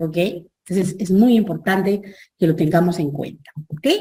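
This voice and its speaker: A woman speaks at a medium pitch, sounding somewhat breathy. Her pitch varies in an ordinary way. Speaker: professor. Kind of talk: lecture.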